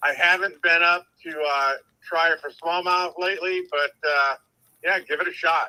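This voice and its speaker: At a moderate pace, the voice has a bright, sharp tone and fairly even intonation. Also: man, high pitch for a man. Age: 60s. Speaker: caller. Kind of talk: casual chat.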